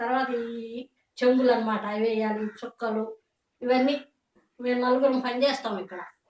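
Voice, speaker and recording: A woman with a high pitch. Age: 60s. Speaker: toy painter. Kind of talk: interview answer.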